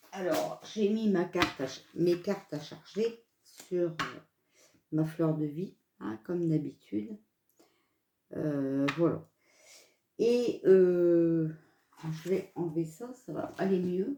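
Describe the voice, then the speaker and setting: Very slowly and with long, frequent pauses, a woman speaks in a dark, mellow tone with lively intonation. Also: fairly low pitch for a woman. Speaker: card reader. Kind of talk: casual chat. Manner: hesitant; stutter.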